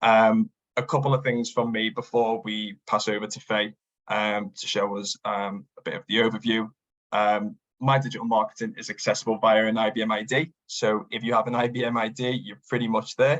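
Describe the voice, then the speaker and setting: A man talks at a medium pitch and a moderate pace. His intonation stays fairly even. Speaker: business development manager. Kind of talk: webinar presentation. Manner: hesitant, many fillers.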